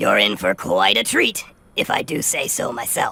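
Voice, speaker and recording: A put-on character voice is used. It moves at a moderate pace. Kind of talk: showman's pitch. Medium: video game. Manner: polished, courteous, salesman-smooth.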